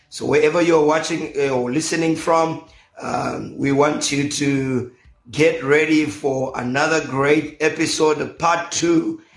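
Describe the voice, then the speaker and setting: In a monotone, flat intonation, a man with a fairly high pitch speaks at a fairly slow pace amid audible room echo. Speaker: pastor and radio host. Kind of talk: radio talk show interview. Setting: radio studio.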